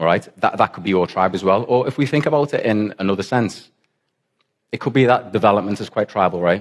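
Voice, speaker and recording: Here is a man with a Liverpool accent. He talks very fast, with ordinary pitch variation. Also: fairly low pitch for a man. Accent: Liverpool (Scouse). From England, Liverpool. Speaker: software developer, conference speaker. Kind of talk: conference talk. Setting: stage with audience, conference in football stadium.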